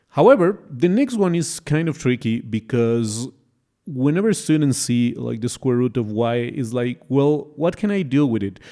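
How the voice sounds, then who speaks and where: A speaker with a non-native accent and a dark, mellow tone talks at a moderate pace with lively intonation in a very clean recording with a silent background. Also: man, medium pitch for a man. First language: not English. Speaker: math tutor. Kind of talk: tutorial. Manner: casual, hesitant with fillers.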